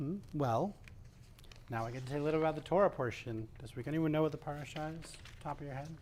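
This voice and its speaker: Soft-spoken and talking very fast, a man with a fairly high pitch uses ordinary pitch variation while his loudness swings widely. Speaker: service leader. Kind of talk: religious service; sermon.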